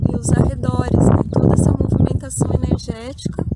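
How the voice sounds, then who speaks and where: A soft-spoken voice moves at a moderate pace amid noticeable background noise and audible room echo. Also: woman. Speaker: channel host, spiritual healer. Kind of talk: outdoor vlog narration.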